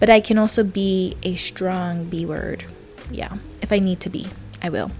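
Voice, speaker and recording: Music plays behind a woman speaking at medium pitch and a moderate pace. Her intonation stays flat and monotone while her loudness swings widely. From New Zealand. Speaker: social media creator. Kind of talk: casual talk to camera.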